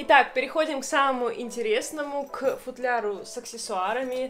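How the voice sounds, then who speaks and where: Clear music sits in the background as a woman speaks with ordinary pitch variation. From Russia, Saint Petersburg; Russia. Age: 20s. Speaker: violinist and video blogger; violinist vlogger. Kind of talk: casual show-and-tell vlog. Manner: friendly, with filler hesitations. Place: home room.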